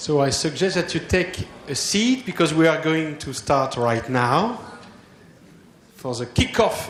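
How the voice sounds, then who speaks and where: A man with a French accent speaks with ordinary pitch variation amid audible room echo. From France. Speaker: association president. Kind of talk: conference opening speech. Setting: conference hall with audience. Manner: hesitant, many fillers.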